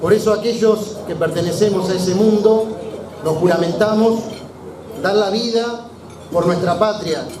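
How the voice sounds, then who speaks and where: Amid noticeable background noise and audible room echo, a high-pitched man speaks fairly slowly with fairly even intonation and long, frequent pauses. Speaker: engineer and small business owner. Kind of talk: political rally speech.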